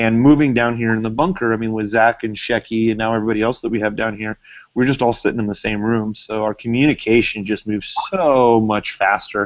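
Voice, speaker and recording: A man of medium pitch talks with fairly even intonation. He leaves hardly any pauses. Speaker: social media marketing trainer, business owner. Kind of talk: live webinar class. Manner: loud; casual, many fillers.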